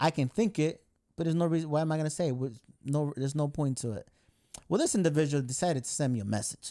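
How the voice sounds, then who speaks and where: The speech moves at a very fast pace. Its tone is dark and mellow. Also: man, fairly high pitch for a man, ordinary pitch variation. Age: 30s. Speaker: podcast host and sports photographer. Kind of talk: casual chat.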